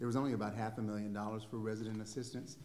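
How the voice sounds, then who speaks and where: A man with a fairly low pitch speaks amid audible room echo. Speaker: city staff official; city official presenting to council. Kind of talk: staff report to council. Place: meeting room. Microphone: podium.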